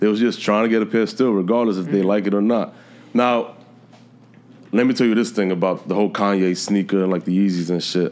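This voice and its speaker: A man with a New York accent speaks very fast at a fairly low pitch, his loudness very even throughout. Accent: New York City. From New York City. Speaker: sneaker reseller. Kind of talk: casual chat.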